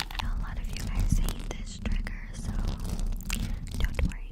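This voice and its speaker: A woman whispers. She is soft-spoken. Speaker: ASMR creator. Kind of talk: soft ASMR whisper-talk to viewer. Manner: soft close-mic ASMR whisper. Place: home room. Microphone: studio mic.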